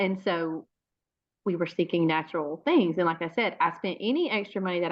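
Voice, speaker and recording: A woman with an American accent speaks in a fairly low voice. Her pace is moderate. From US South, Georgia. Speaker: network marketing seller. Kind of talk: sales pitch. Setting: video call.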